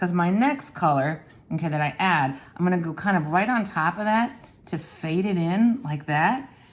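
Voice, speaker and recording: Lively in intonation, a woman with an ordinary speaking voice talks at a fairly low pitch and a moderate pace. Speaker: art teacher. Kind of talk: tutorial.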